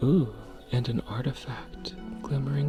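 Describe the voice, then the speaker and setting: Music plays in the background behind a soft-spoken voice. The tone is soothing and calm, and the pace is very slow. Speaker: sleep story and ASMR gaming narrator. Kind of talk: sleep story. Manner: soft-spoken, soothing, calm.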